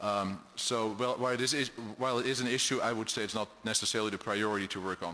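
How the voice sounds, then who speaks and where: A man with a European accent speaks very fast in a bright, sharp tone. His medium pitch stays fairly even in intonation. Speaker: state official for international business development. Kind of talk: testimony at a public hearing. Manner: halting, many fillers and repeats.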